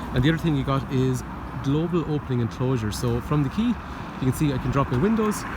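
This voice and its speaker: Someone speaks with an Irish accent over noticeable background noise. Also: man. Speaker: car salesman. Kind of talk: sales pitch. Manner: stutter.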